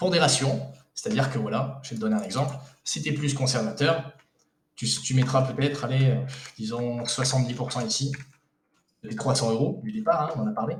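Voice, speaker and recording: Audible room echo surrounds the speaker. He is a man with ordinary pitch variation. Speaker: investment coach and video creator. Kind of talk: casual tutorial. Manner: fast; hesitant, many fillers.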